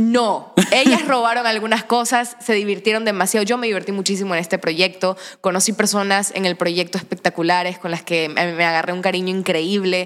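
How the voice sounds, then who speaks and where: Talking at a fairly quick pace with hardly any pauses, a woman uses a medium pitch and ordinary pitch variation. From Ecuador, Manabí (Santa Ana). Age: 20s. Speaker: actress and social media creator. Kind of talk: casual interview chat.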